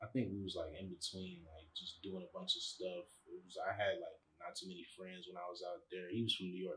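The speaker, with an American accent, goes at a fairly quick pace with hardly any pauses. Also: man. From Chicago. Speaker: rapper and music producer. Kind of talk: casual chat.

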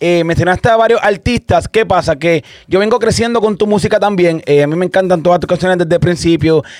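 Speaking with a Puerto Rican accent, a man talks at a high pitch with ordinary pitch variation. He moves at a fairly quick pace with hardly any pauses. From Puerto Rico, Santa Isabel. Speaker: podcast host and DJ. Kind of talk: interview.

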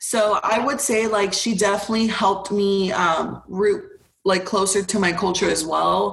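With an American accent, a woman speaks at a moderate pace and a medium pitch. Noticeable background noise is present. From Houston, Texas. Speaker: college student. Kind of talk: casual chat.

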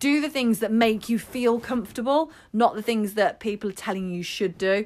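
On a very clean recording with a silent background, a woman with an English accent speaks at a fairly high pitch and moderate pace, with hardly any pauses. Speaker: podcast co-host, health and fitness coach. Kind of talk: casual chat with health advice.

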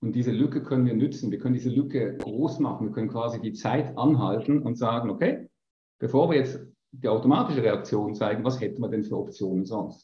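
Somewhat breathy, a man talks at a fairly quick pace with medium pitch and ordinary pitch variation. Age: 50s. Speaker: business coach. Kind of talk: interview.

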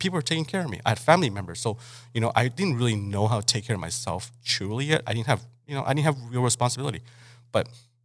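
Somewhat breathy and lively in intonation, the voice races at a very fast pace in a very clean recording with a silent background. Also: man, medium pitch for a man. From Mexico (Mexicali). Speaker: chef and restaurant owner. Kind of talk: casual interview.

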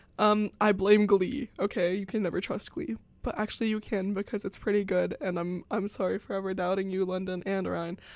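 Medium pitch and ordinary pitch variation from a woman, an ordinary speaking voice at a fairly quick pace. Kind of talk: radio DJ patter between songs, student college radio host. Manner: chatty and casual, filled with ums and self-corrections; upbeat, playful and self-deprecating, excited about her show.

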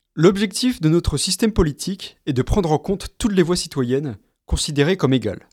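A man talks at a fairly quick pace in a high pitch with lively intonation. The sound is dry and close, with no echo. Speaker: podcast host, graduate student. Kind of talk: scripted narration.

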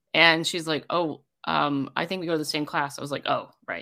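On a very clean recording with a silent background, a woman with an animated, bright, sharp tone speaks in a fairly low pitch at a moderate pace with ordinary pitch variation. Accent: American. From rural US, small town. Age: 40s. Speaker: amateur rugby player and coach. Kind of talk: casual interview. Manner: animated, laughing often.

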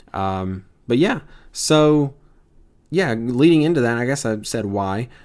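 A man speaks at a fairly slow pace with medium pitch and ordinary pitch variation. The recording is very clean, with a silent background. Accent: Mississippi. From US South, Tupelo, Mississippi. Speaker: podcast host, seminary student. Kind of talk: casual podcast introduction. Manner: informal, filler-heavy.

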